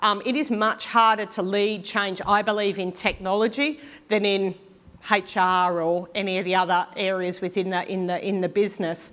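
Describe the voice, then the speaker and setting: A woman with an Australian accent speaks at a moderate pace in a medium pitch, her intonation fairly even against a quiet background. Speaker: mining industry technology leader. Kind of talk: conference talk. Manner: many fillers (um, uh).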